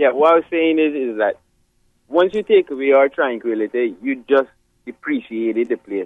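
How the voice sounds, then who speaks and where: Speaking with a Caymanian accent, this man keeps a moderate pace. His pitch is medium. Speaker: caller. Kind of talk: heated debate.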